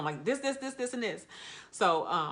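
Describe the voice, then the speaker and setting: An excited woman, bright and sharp in tone, with lively intonation and a fairly quick pace. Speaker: postpartum nurse. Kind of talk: story time. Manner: fast, excited.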